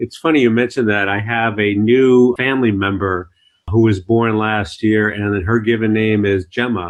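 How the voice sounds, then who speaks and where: Pitched fairly low, a man uses a plain, everyday voice with fairly even intonation at a moderate pace. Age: 50s. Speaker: podcast host, business broker. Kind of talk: podcast interview.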